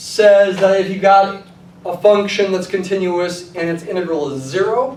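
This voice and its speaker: The speaker uses ordinary pitch variation. Noticeable background noise and audible room echo fill the recording. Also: man, high pitch for a man. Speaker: math professor. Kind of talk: lecture. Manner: fast.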